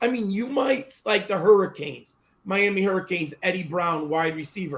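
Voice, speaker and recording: This man has an American accent and a high-pitched voice. He keeps a moderate pace with ordinary pitch variation. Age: 50s. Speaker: football draft analyst. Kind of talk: podcast interview. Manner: animated.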